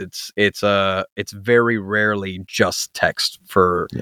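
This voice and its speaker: A man speaks at a very slow pace. The very clean recording has a silent background and a dry, close sound with no echo. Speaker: podcast host. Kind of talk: casual chat. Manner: animated.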